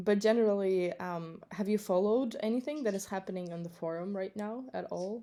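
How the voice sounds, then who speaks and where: A woman with an American accent and a medium pitch talks at a fairly quick pace with hardly any pauses, her dark, mellow tone showing ordinary pitch variation. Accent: American-sounding English. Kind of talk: casual chat. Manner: halting, many fillers.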